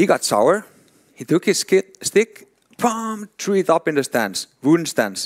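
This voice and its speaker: With a Swedish accent, a man talks at a moderate pace with lively intonation, the sound dry and close with no echo. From Finland. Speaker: hockey development director, former pro player. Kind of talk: conference talk. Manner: animated, with sound effects; halting, with repetitions.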